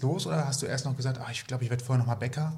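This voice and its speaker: A man's normal speaking voice at medium pitch, with fairly even intonation. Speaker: podcast co-host. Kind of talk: casual interview chat.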